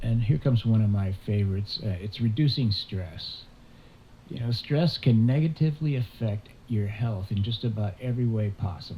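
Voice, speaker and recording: A man speaks at a moderate pace in a medium pitch. His tone is dark and mellow, and somewhat breathy. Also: ordinary pitch variation. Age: 70s. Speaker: outdoors camping vlogger. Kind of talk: casual talk to camera.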